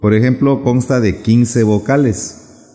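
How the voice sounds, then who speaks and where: A man speaks with music in the background. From Ixtepec, Oaxaca, Isthmus of Tehuantepec, Mexico. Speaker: teacher of Zapotec. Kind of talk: interview. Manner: halting.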